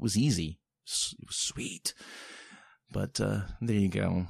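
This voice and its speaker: A somewhat breathy man with a fairly low pitch speaks with very wide pitch swings. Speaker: podcast host. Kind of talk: solo podcast monologue. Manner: casual, halting with fillers.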